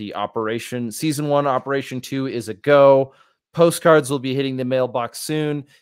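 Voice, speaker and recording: The speaker has an American accent and a moderate pace with ordinary pitch variation. The recording is very clean, with a silent background. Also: man. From rural US. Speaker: podcast host. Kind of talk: casual chat; show outro. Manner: halting.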